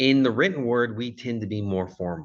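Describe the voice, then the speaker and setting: With a Californian accent, the speaker uses lively intonation against a quiet background. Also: man. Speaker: college communication instructor, former Marine. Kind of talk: recorded lecture. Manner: casual, with frequent fillers.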